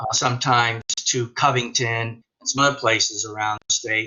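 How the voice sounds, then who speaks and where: An American-accented man with an unremarkable speaking voice talks at a moderate pace, his pitch medium and his intonation fairly even. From northern US. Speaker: teacher. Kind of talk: casual discussion in a webinar.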